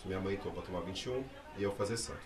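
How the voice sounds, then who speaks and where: A man with a very deep, low pitch speaks with fairly even intonation. Noticeable background noise and audible room echo come through. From Brazil. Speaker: candomblé priest. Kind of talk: casual interview chat.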